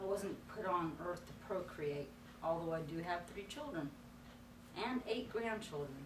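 A woman with an American accent speaks at a fairly slow pace in a fairly low voice, her intonation lively, with long, frequent pauses and noticeable background noise. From North Carolina. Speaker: ministry student. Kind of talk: personal testimony. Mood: earnest, reflective. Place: classroom.

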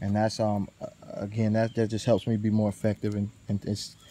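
Speaking very fast in a flat monotone, a man is heard with light background noise and a dry sound that has no echo. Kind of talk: tutorial. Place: forest. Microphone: phone near.

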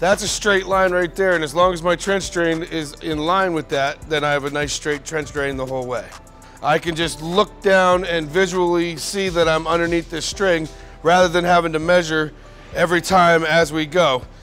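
Faint music plays in the background as a man speaks at a moderate pace. His voice is high, with fairly even intonation. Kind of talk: tutorial. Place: factory. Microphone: lapel.

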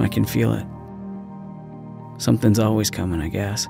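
The recording is dry with no echo, and music plays clearly in the background. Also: man. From Canada. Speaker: voice actor. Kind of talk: dramatic scripted monologue. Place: studio. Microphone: studio mic.

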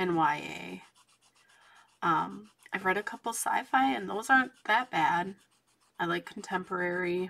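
A soft-spoken woman talks at a fairly slow pace, leaving long, frequent pauses. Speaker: coloring channel host. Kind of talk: casual chat while coloring. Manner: quiet, soft-spoken. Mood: relaxed, chatty.

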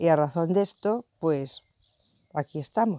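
A woman with a dark, mellow tone speaks at a fairly slow pace in a dry sound with no echo. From Spain. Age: 60s. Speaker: retired nurse and pilgrim. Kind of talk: interview testimony. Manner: hesitant, with fillers. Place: garden.

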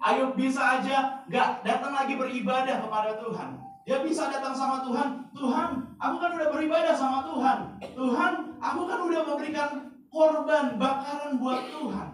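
An animated man with an extremely high pitch, ordinary pitch variation and a moderate pace. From Indonesia, raised in Bali and Jakarta. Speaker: pastor. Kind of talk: sermon. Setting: church.

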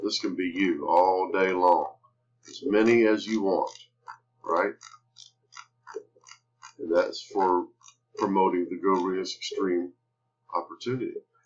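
Speaking at a slow pace with a low pitch, a man uses fairly even intonation and long, frequent pauses.

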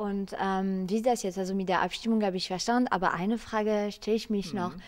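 A woman speaks at a fairly quick pace with a French accent and fairly even intonation. Her pitch is medium, over a quiet background. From France. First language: French (speaking German). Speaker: presenter of explainer video; presenter. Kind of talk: interview; interview questions and sign-off to camera. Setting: parliament chamber. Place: hall. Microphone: handheld.

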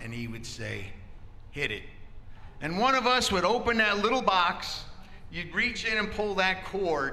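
A man speaks in a raised, projected voice at a moderate pace. His pitch swings very widely. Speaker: lay preacher. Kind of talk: sermon. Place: church. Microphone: handheld.

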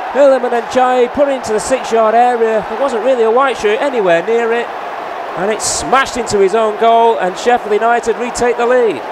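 An animated man's voice, extremely high in pitch and fairly quick, over noticeable background noise. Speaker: football match commentator. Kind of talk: live football commentary. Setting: club channel highlights, commentary over match footage. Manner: animated, fast-paced, rising with each goal.

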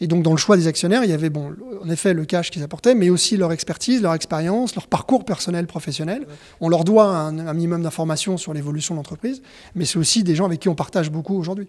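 A man with a high pitch talks at a very fast pace. His pitch varies normally, and the background is quiet. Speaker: entrepreneur. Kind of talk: interview. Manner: halting. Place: shop. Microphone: handheld.

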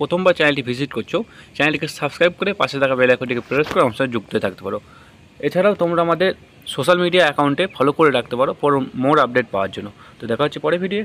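Here is a man with a plain, everyday voice. His intonation is lively. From West Bengal, Katwa area; West Bengal. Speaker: YouTube education channel host; education channel host. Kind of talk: YouTube intro and outro addressing viewers.

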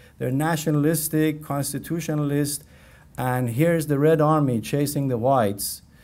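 A man with a Persian accent speaks at a moderate pace with fairly even intonation. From Iran. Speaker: history professor. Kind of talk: lecture. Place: classroom. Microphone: podium.

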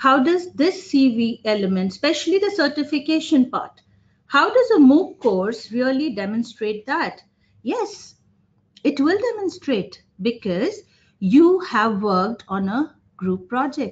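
A high-pitched woman's voice at a fairly slow pace, full of very wide pitch swings. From India, Jamshedpur (Jharkhand). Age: 40s. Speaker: business communication professor. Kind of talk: webinar lecture. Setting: online webinar with screen sharing. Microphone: webcam.

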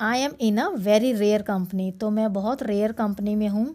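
Recorded very cleanly against a silent background, a woman speaks in a dark, mellow tone with fairly even intonation. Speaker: teacher. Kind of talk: lecture.

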